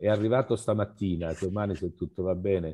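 A man's fairly even intonation and moderate pace come through against a quiet background. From Calabria, southern Italy. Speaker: photo magazine organizer. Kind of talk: casual discussion. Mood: warm, appreciative. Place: home room. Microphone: headset.

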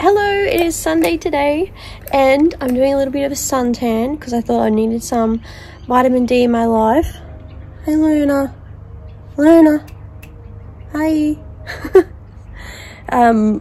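A woman's fairly slow speech with long, frequent pauses. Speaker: vlogger. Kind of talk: casual vlog chat. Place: garden. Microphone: phone near.

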